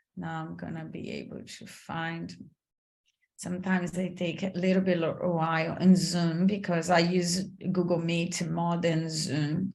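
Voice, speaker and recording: Audible room echo around a woman's somewhat breathy voice. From Brazil. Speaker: career coach. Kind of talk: online masterclass. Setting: video call.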